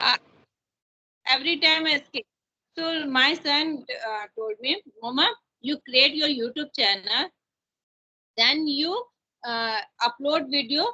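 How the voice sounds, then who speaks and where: A woman's high voice in an Indian accent, lively in intonation, at a fairly slow pace with long, frequent pauses. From India, Chhattisgarh (Raipur). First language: Hindi. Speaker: teacher learning English. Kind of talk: casual conversation practice. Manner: halting.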